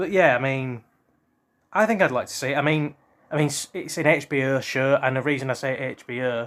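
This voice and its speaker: On a very clean recording with a silent background, a man with a British accent and medium pitch talks at a fairly quick pace. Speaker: history and culture vlogger. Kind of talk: casual monologue. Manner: hesitant, many ums and ers.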